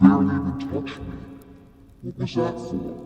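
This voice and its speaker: Putting on a character voice, a man speaks at a moderate pace with a very deep, low pitch and a clear echo. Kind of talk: audio roleplay. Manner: menacing, taunting.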